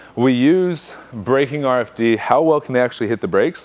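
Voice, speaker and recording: Lively, fairly high-pitched male speech against noticeable background noise. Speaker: strength coach. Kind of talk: seminar talk. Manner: fast.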